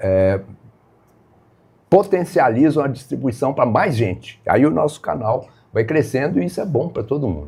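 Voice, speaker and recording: A man's dark, mellow, medium-pitched voice swings very widely in pitch, with vocal fry and long, frequent pauses. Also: moderate pace. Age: 70s. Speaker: live stream host teaching phone use to seniors. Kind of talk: live stream talk to viewers.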